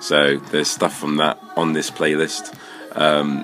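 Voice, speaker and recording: A fairly slow pace with music in the background. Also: man. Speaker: channel host. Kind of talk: casual vlog chat. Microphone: phone near.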